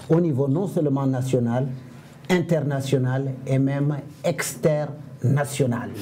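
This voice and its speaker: Speech at a very slow pace in a West African accent carries fairly even intonation and audible room echo. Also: man, fairly high pitch for a man. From Senegal. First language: Fula (speaking French). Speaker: comedian and storyteller. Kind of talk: interview.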